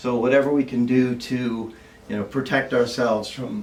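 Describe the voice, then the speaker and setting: A man's medium-pitched voice with ordinary pitch variation, noticeable background noise and audible room echo. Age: 70s. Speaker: supplement distributor. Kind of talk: informal presentation. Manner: halting, many fillers.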